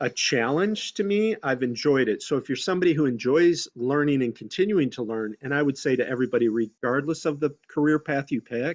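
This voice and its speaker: Speaking in a plain, everyday voice, a man with a fairly high pitch talks at a fairly quick pace with lively intonation and hardly any pauses. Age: 60s. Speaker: community outreach worker, former broadcaster. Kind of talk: career talk on webinar panel. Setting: video call.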